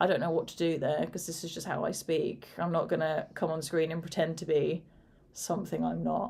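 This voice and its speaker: A woman with a British accent speaks at a fairly quick pace. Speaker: horror video creator, former teacher. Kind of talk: casual chat. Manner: fairly even, not high-pitched or excitable.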